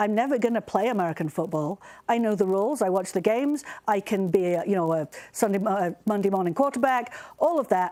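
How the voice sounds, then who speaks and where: Very fast speech comes from a woman at medium pitch, with a dark, mellow tone and lively intonation. The recording is very clean, with a silent background. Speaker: astronomy professor. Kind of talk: press briefing panel answer.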